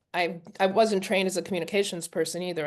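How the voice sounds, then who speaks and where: A woman speaks at a medium pitch with fairly even intonation. The background is quiet. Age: 60s. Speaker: journalist and poet. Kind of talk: interview. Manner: halting.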